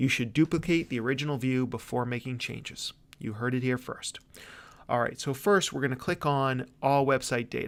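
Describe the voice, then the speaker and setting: Fairly even in intonation, a man speaks at a medium pitch. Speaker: webinar presenter, digital marketer. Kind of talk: webinar tutorial. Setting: live webinar with slides. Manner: fast; casual, conversational.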